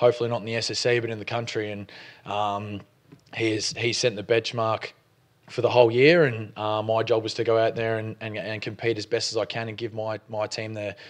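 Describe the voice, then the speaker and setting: A man with an Australian accent speaks at a fairly quick pace and medium pitch. His intonation stays monotone and flat. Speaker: college football punter. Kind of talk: press conference interview answer.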